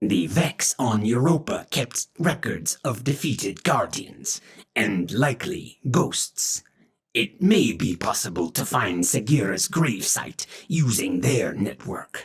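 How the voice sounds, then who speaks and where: At a fairly slow pace, a man does a put-on character voice at a medium pitch. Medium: read story. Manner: formal, stilted, speaks of himself in third person.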